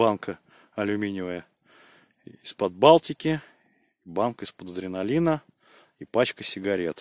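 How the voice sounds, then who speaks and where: Pausing long and often, a man speaks at a moderate pace with a fairly low pitch and big swings in loudness, in a very clean recording with a silent background and a dry, close sound with no echo. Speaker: village vlogger. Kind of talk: casual outdoor vlog. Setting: outdoors by a river at night. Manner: quiet at night.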